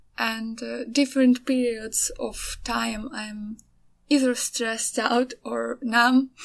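At a very slow pace, a woman talks in a high pitch with monotone, flat intonation. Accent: Ukrainian. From Ukraine. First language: Ukrainian. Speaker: artist and podcaster. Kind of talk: casual solo monologue. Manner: halting, many fillers.

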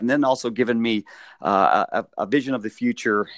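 In an ordinary speaking voice, a man with an American accent talks at a medium pitch and moderate pace with ordinary pitch variation, the sound dry and close with no echo against a quiet background. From US West, Las Vegas. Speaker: podcast host, professional mascot. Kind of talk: casual interview chat.

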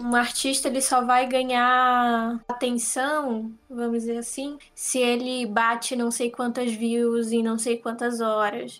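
The woman's pitch is high and her intonation monotone and flat. Her pace is very slow. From Santa Catarina, Brazil. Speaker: podcast host. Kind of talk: casual chat. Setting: video call.

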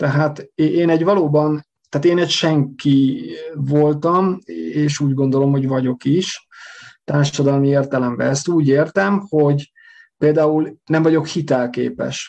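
The speech moves at a fairly slow pace. Its loudness stays very even. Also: man, fairly high pitch for a man. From Hungary. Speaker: emigrant telling his story. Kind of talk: storytelling interview. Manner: halting, repeats words.

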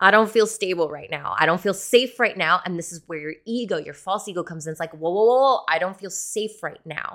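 In a very clean recording with a silent background, a woman uses an unremarkable speaking voice at medium pitch with ordinary pitch variation. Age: 30s. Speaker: tattoo business coach and podcast host. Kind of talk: casual solo podcast chat. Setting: home kitchen, video recorded. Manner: casual with many fillers.

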